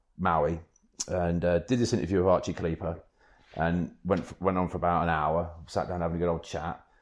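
This man speaks with a British accent at a fairly quick pace. His pitch is very deep and low, and the background is quiet. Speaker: kitesurfing magazine editor and waterman, cancer patient. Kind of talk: casual interview chat.

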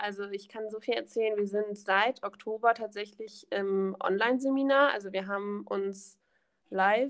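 Speaking with an ordinary speaking voice, a woman keeps a mid-range pitch, mostly level intonation and a medium tempo. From Germany, Rhineland near Bonn (Königswinter). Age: 20s. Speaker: trainee primary school teacher. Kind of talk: podcast interview.

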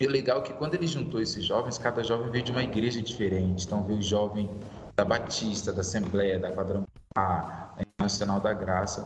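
Amid noticeable background noise and audible room echo, a man speaks fairly quickly at a fairly low pitch with ordinary pitch variation. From Brazil, Vitória, Espírito Santo. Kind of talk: casual interview.

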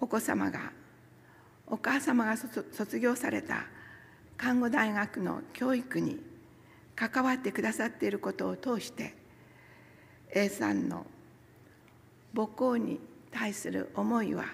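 A woman at a very slow pace with long, frequent pauses. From Nagasaki, Kyushu, Japan. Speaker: church member giving a talk, former nurse. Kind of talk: sermon with personal testimony. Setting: church service, also streamed online. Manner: formal, polite.

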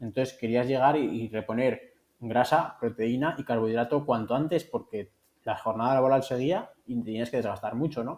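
A man with a normal speaking voice talks at a moderate pace, his medium pitch set in fairly even intonation. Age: 40s. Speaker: nutritionist. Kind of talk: interview.

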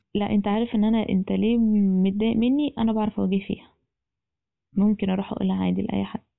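The speaker talks at a fairly quick pace. Pitch varies in an ordinary way. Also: woman. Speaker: podcast guest. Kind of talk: casual chat.

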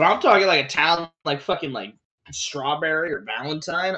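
Speaking at a fairly quick pace, a man with an ordinary speaking voice uses lively intonation at a fairly high pitch. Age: 20s. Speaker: podcast co-host. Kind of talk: casual chat.

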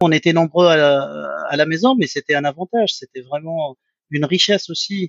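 A man speaks at a moderate pace in a fairly high pitch. His pitch varies in an ordinary way. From Tunisia, Sfax. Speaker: business executive and school founder. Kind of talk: interview. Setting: video call. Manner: halting.

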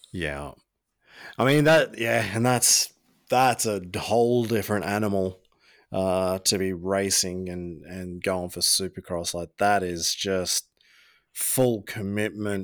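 A man with an Australian accent speaks very slowly in a fairly low voice, recorded very cleanly against a silent background. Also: ordinary pitch variation. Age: 30s. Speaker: podcast host. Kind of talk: casual interview.

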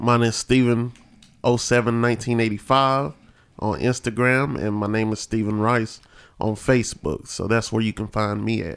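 A man with an American accent and an ordinary speaking voice, medium in pitch, at a moderate pace with fairly even intonation, on a very clean recording with a silent background. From central North Carolina (Asheboro area). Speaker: podcast co-host, postal worker and musician. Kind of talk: casual chat.

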